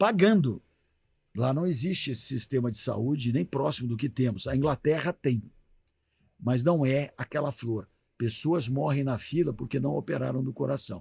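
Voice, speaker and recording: A man talks at a moderate pace with medium pitch. His intonation is lively and his voice somewhat breathy. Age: 60s. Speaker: doctor. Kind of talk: radio interview.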